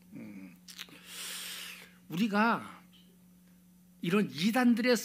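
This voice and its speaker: A man with a high pitch talks at a very slow pace. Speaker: pastor. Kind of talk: sermon. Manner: loud.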